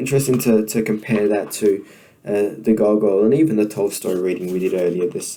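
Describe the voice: Someone does plain reading aloud here.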